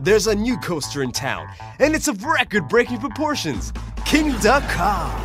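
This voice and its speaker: A man speaks at a high pitch with very wide pitch swings. Music plays in the background. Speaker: voice actor. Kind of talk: TV commercial read.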